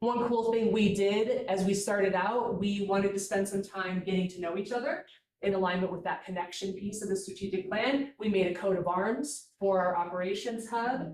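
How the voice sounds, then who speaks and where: A woman's plain, everyday voice at a medium pitch and moderate pace, with fairly even intonation and hardly any pauses. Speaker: staff member presenting a work group report. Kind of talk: meeting presentation. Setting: hybrid meeting, in person and on Zoom.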